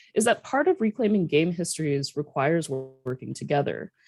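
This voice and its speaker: Music plays in the background as a woman speaks with a fairly low pitch. Her intonation is lively, and the sound is dry and close with no echo. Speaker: professor. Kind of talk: conference presentation. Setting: video call. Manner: fast.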